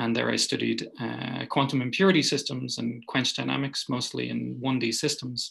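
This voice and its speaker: A man with an Irish accent at a moderate pace. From Ireland. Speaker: physicist. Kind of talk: lecture.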